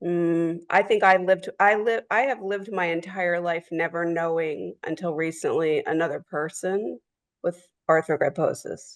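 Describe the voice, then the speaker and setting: Delivered at a moderate pace, a woman's fairly low, plain, everyday voice keeps fairly even intonation, dry and close with no echo. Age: 60s. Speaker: sibling of person with a rare condition. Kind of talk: personal story.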